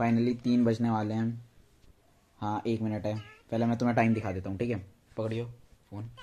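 A man's monotone, flat voice at a moderate pace. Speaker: vlogger. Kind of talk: casual vlog chat. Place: home room. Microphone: phone near.

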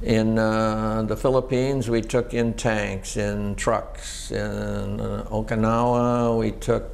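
Hardly pausing at all, a man with an American accent speaks at a very slow pace. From northeastern Pennsylvania. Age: 70s. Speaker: war veteran. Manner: plain, matter-of-fact recollection, unhurried and unembellished; hesitant, frequent 'uh' fillers while recalling details. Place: home room. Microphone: lapel.

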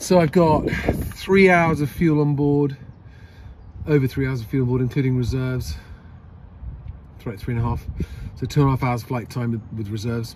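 Over noticeable background noise, a man talks at a moderate pace with ordinary pitch variation and long, frequent pauses, in a dry sound with no echo. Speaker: private pilot vlogger. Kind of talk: casual vlog chat. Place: plane. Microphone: phone near.

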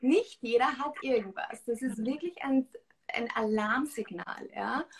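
Over light background noise, a woman with a high pitch uses lively intonation at a fairly slow pace. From Austria, rural farm. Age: 20s. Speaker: nutrition coach and author; nutrition coach. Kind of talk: interview on Instagram live. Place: home room. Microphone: video call.

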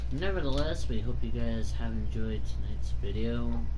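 A man speaking at a moderate pace with music in the background. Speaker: gaming YouTuber. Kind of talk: casual chat with frequent swearing. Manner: casual, profane, irritated.

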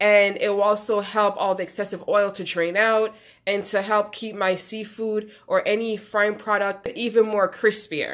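Against a quiet background, a woman keeps a moderate pace as she talks. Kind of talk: tutorial. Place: kitchen.

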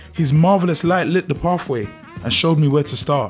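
The pace is moderate. Music can be heard in the background. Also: man. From South London. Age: 20s. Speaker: spoken word poet. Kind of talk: spoken word poetry.

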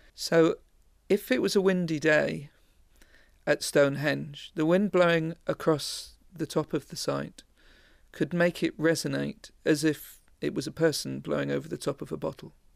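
A man speaks at a moderate pace, and the recording is very clean, with a silent background. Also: dry, close sound with no echo. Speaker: acoustics researcher. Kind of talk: interview answer.

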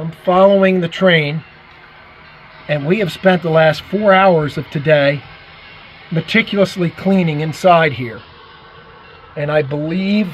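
The speaker goes at a fairly slow pace with long, frequent pauses and ordinary pitch variation, over light background noise. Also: man, big swings in loudness. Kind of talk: walkthrough commentary. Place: home room. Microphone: phone near.

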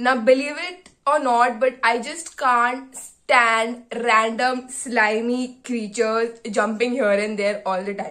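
The tone is bright and sharp, with ordinary pitch variation. Behind it, the background is quiet. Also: woman. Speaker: medical student vlogger. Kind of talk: casual vlog chat. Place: home room. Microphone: phone near.

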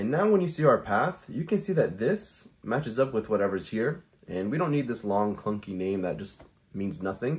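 Speaking at a fairly quick pace, a man lets his pitch swing very widely. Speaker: tutorial creator. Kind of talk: tutorial. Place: home room.

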